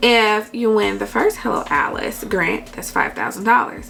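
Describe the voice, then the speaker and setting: Noticeable background noise beneath a woman's moderately paced speech. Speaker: YouTuber giving business grant advice. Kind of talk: tutorial with screen recording. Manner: casual, many fillers.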